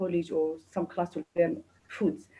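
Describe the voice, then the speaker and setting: A woman speaks in a Kurdish accent. Her pitch is fairly low, with ordinary variation. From Kurdistan. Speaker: chef. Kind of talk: interview. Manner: halting.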